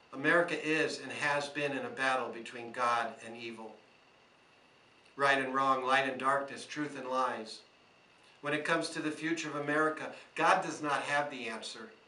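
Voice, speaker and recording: Over noticeable background noise and audible room echo, a man talks at a moderate pace with a fairly high pitch, ordinary pitch variation and big swings in loudness. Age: 60s. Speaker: small business owner. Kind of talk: prepared speech to camera. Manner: earnest.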